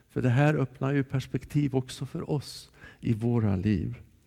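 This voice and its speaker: A man's dark, mellow voice at medium pitch, ordinary pitch variation and a moderate pace. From Dalarna, Sweden. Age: 60s. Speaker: preacher. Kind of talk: sermon. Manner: loud.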